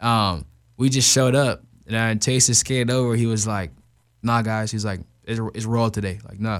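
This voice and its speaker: With an American accent and an unremarkable speaking voice, a man of medium pitch talks at a moderate pace with fairly even intonation in a very clean recording with a silent background. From Arizona. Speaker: pro skateboarder. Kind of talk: casual interview.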